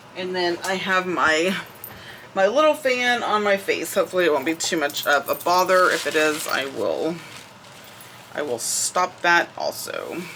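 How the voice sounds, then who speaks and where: Speaking fairly slowly with lively intonation, a woman with an American accent is heard over noticeable background noise. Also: medium pitch for a woman. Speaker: crafting YouTuber. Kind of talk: casual crafting tutorial chat.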